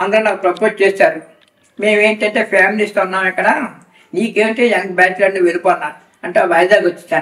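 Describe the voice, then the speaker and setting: With ordinary pitch variation, a man's voice sits high in pitch. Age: 70s. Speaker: retired factory manager, devotee. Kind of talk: interview testimony.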